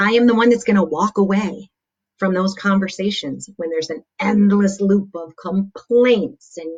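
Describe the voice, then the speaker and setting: A woman's animated voice at a fairly slow pace, medium in pitch, with ordinary pitch variation and big swings in loudness. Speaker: motivational speaker. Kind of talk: livestream talk. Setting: live video stream.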